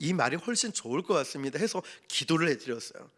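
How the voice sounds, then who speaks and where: With a Busan accent, a man of fairly high pitch talks at a fairly quick pace with lively intonation. The recording is very clean, with a silent background. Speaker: pastor, evangelism trainer. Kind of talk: sermon. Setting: church service. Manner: animated storytelling.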